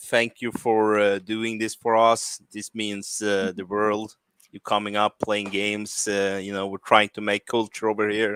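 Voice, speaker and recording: In a Swedish accent, a man with a fairly low voice speaks flat and monotone at a fairly slow pace, with big swings in loudness and a dry, close sound with no echo. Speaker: game jam event host. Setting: stage, live event. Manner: hesitant, many fillers.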